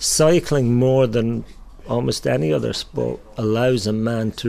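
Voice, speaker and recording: In an Irish accent, a man talks at a fairly slow pace with a fairly low pitch and ordinary pitch variation. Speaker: bike shop owner. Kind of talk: interview.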